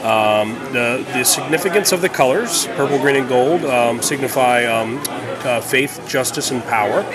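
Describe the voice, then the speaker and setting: Male voice at a medium pitch with ordinary pitch variation, fairly slow yet with hardly any pauses, amid audible room echo and crowd noise in the background. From New Orleans. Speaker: chef and restaurant owner. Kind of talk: interview. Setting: at his bakery.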